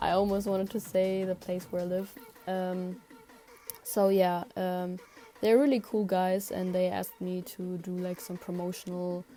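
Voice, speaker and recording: A woman's flat, monotone delivery against noticeable background noise. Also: medium pitch for a woman, moderate pace. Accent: non-native. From outside Germany, small-town. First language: not English. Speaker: digital artist, vlogger. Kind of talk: casual monologue voice-over. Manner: halting, many fillers. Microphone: cable headphones mic, bad quality.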